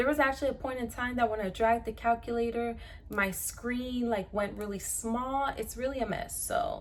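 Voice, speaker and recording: A woman speaks in a high pitch. Her pace is moderate. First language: Spanish. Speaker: pre-nursing student and YouTuber. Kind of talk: tutorial. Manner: casual, conversational.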